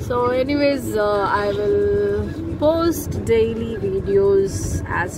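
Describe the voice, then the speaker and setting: No echo colors the dry sound. Background noise is noticeable throughout. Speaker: travel vlogger. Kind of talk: casual vlog chat. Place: car. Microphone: phone near.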